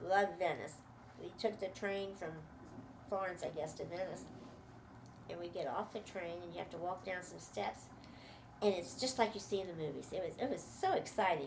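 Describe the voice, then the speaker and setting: With an American accent, a woman speaks fairly quickly in a fairly low voice with ordinary pitch variation, amid audible room echo and noticeable background noise. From US Mid-Atlantic, Washington DC. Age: 80s+. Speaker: interviewee recounting her life. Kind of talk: life story interview.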